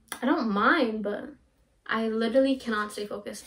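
A woman is speaking at a moderate pace. Her pitch varies in an ordinary way. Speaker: drink reviewer. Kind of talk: casual vlog chat. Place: home room. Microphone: camera far.

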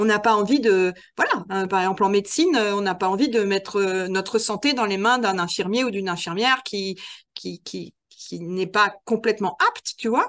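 A woman talks in an ordinary speaking voice at a medium pitch and moderate pace. Her pitch varies in an ordinary way against a quiet background. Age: 50s. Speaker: trainer and author. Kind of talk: interview conversation.

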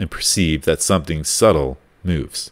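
A man's voice with vocal fry, moderate pace and ordinary pitch variation. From Canada. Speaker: college radio host. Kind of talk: solo monologue.

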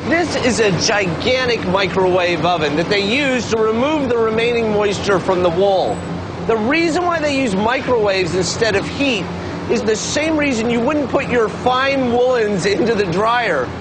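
A man talking at a moderate pace amid noticeable background noise. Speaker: TV show host. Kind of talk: TV presenter explanation. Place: factory.

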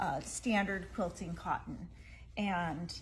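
A woman speaks at a fairly slow pace in a somewhat breathy voice over light background noise. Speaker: presenter. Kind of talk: product showcase live stream. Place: shop. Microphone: phone near.

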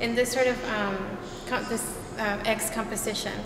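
At a moderate pace, the speech sits over clear background noise. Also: woman, fairly high pitch for a woman, fairly even intonation.

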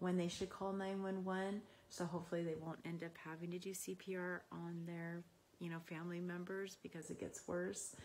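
A woman speaks at a moderate pace against light background noise. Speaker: emergency care instructor. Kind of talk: personal testimonial, casual talk. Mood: warm, reflective. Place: home room. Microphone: phone near.

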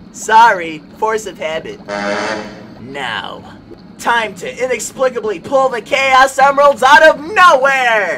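A cartoonish character voice moves along at a fairly slow pace. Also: man, extremely high pitch for a man. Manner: sheepish when scolded; brash, upbeat, catchphrase-heavy.

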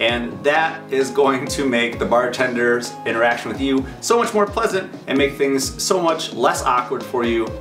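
Clear music sits in the background while the talking keeps a moderate pace. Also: man. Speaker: sobriety vlogger. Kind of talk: casual vlog chat. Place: home room.

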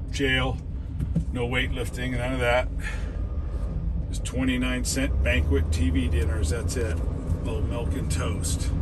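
A man talks very slowly, with long, frequent pauses and ordinary pitch variation. Loud background noise fills the recording. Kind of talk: casual commentary. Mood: sarcastic, critical. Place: car. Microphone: phone near.

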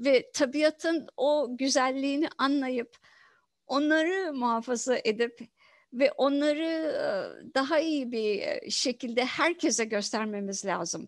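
Against a quiet background, a woman speaks at a high pitch in a dry sound with no echo. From Turkey, Izmit; Turkey. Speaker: professor of environmental engineering; professor, interviewee. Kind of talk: interview. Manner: halting, many fillers. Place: home room. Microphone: headset.

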